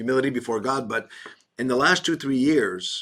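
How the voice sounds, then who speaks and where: Pitch moves normally in a man's voice pitched in the middle range. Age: 60s. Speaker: pastor. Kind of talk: casual chat. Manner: halting.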